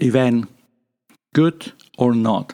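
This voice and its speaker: In a Spanish accent, a man talks with a voice of medium pitch. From Spain. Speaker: podcast host. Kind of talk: casual monologue. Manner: improvised, halting.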